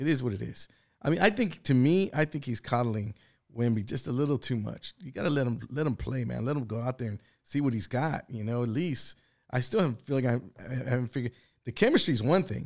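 With an ordinary speaking voice, a man talks at a fairly quick pace and medium pitch with ordinary pitch variation. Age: 50s. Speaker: sports podcast co-host. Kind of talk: casual chat.

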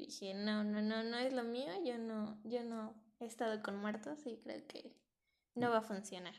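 A woman talks in an ordinary speaking voice at a fairly high pitch. She speaks at a fairly slow pace with fairly even intonation. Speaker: podcast co-host. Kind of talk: casual chat.

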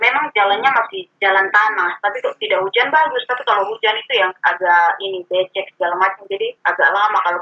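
Speaking at a fairly quick pace, a woman with an eastern Indonesian accent uses ordinary pitch variation. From Kupang, East Nusa Tenggara. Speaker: teacher. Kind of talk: casual chat.

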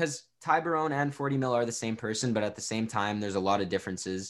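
On a very clean recording with a silent background, an unremarkable speaking voice with a Canadian accent shows ordinary pitch variation. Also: man. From Ontario, Canada. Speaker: rapper and songwriter. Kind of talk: casual interview.

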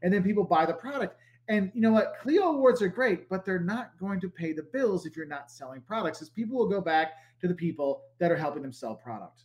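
This man's voice is high and swings very widely in pitch. He talks at a fairly quick pace. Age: 40s. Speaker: marketing professor and travel video creator. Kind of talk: casual interview chat.

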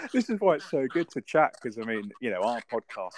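A fairly quick man's voice in a British accent, with a dry, close sound and no echo. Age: 50s. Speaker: podcast host. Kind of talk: casual chat.

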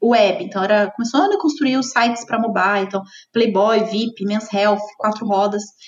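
A woman with an unremarkable speaking voice talks at a fairly quick pace, her pitch varying in an ordinary way. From southern Minas Gerais, Brazil. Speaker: head of marketing. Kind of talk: interview.

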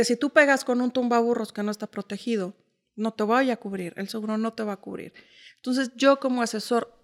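A woman with a plain, everyday voice, fairly high in pitch, at a fairly quick pace with fairly even intonation, in a dry, close sound with no echo and a very clean recording over a silent background. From Mexico City. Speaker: insurance sales entrepreneur. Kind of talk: interview.

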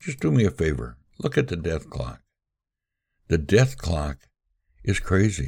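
A man with a very deep, low pitch and vocal fry speaks with very wide pitch swings and long, frequent pauses. The recording is very clean, with a silent background. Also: fairly slow pace. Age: 80s+. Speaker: podcast host. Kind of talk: solo monologue commentary. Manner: halting, many filler words.

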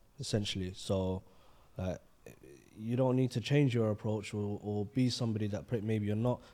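Fairly low in pitch with a dark, mellow tone, a man speaks at a moderate pace with fairly even intonation. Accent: London. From London. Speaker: podcast co-host. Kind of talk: casual chat.

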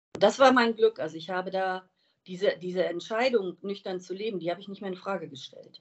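This woman has a plain, everyday voice at a medium pitch, with ordinary pitch variation. She talks at a fairly quick pace, and her loudness swings widely. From Wiesbaden, Hesse, Germany. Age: 50s. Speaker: recovering alcoholic sharing her story. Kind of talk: interview.

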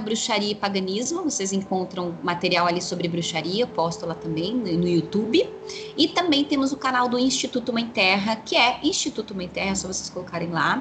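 Music plays in the background while a woman talks at a moderate pace with very wide pitch swings. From São Paulo city, east side periphery. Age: 40s. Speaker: witch and tarot reader, teacher. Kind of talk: interview conversation.

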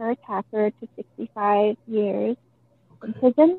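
A woman in an American accent at a very slow pace with fairly even intonation. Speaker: crime survivor's sister. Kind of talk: interview testimony.

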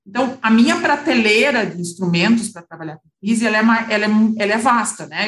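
At a fairly quick pace, a woman with a fairly high pitch speaks in a somewhat breathy voice with ordinary pitch variation. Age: 40s. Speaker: lawyer and independent board member. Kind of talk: interview.

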